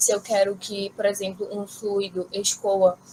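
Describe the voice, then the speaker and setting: At a moderate speed, a woman talks in a medium pitch. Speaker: graduate student presenter. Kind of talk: academic conference talk. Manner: halting, many fillers.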